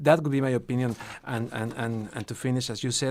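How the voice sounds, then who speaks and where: With a Spanish accent, a man speaks at a medium pitch in a dark, mellow tone with fairly even intonation. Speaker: TV and radio journalist. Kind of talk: radio interview. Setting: radio studio. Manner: halting, with false starts.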